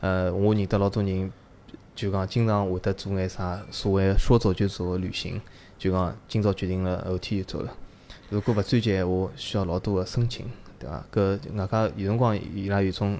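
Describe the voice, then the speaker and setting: A man speaks at a moderate pace with a fairly low pitch. His tone is dark and mellow, and his intonation stays fairly even. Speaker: Chinese emigrant to New Zealand. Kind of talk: casual chat.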